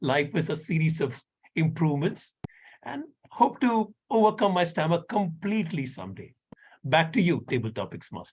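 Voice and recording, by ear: A man speaks at a moderate pace and fairly high pitch, with big pitch swings. His tone is slightly mellow with a slightly husky edge.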